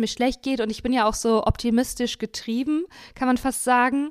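Recorded very cleanly against a silent background, a woman speaks very fast at a high pitch. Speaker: podcast host. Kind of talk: casual chat.

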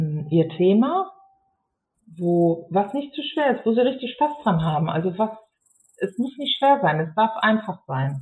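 Somewhat breathy and at medium pitch, a woman talks at a very slow pace with long, frequent pauses and very wide pitch swings. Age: 50s. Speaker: geriatric nurse and care home manager turned author. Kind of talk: casual interview.

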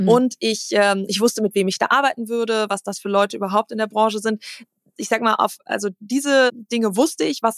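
Speaking at a fairly quick pace, a woman with a fairly high pitch and fairly even intonation has a plain, everyday voice, heard in a dry, close sound with no echo. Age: 30s. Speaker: CEO of a family machine-building company. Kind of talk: casual interview.

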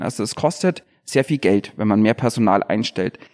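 A man's normal speaking voice, lively in intonation and moderate in pace, dry and close with no echo, on a very clean recording with a silent background. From Bavarian Swabia (Unterallgäu). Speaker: police detective and local politician. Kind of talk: podcast interview.

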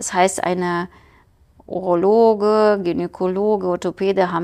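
Her pitch sits in the medium range as the woman talks at a moderate pace, her intonation fairly even. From Ukraine. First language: Ukrainian or Russian (speaking German). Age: 40s. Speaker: scientist and entrepreneur. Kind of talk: casual interview. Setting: studio.

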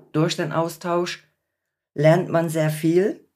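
Here a woman with an English accent has a very deep, low voice. She speaks fairly slowly with monotone, flat intonation. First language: English (speaking German). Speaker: patient and support group volunteer. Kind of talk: podcast interview.

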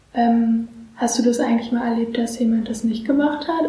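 Audible room echo surrounds a woman speaking at a high pitch, her dark, mellow tone held to fairly even intonation. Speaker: student interviewer. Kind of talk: interview.

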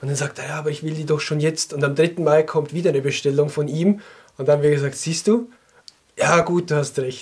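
An unremarkable speaking voice from a man, fairly high in pitch, at a moderate pace, with ordinary pitch variation. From Switzerland, canton of Glarus. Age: 30s. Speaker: sock business co-founder. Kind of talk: casual interview chat. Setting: studio, in person.

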